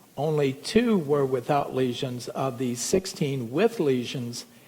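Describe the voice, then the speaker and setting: Over noticeable background noise, a man talks at a fairly slow pace with fairly high pitch and ordinary pitch variation. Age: 60s. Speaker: physician. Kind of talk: lecture.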